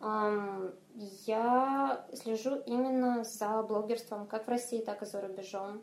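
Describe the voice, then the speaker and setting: A woman's fairly high voice at a very slow pace, fairly even in intonation, over noticeable background noise. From Moldova, Chisinau. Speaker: fantasy author. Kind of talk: interview.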